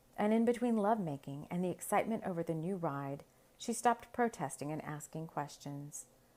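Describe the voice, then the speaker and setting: Here a woman with a plain, everyday voice talks at a moderate pace with a fairly low pitch. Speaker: podcast host and storyteller. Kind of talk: story narration read aloud.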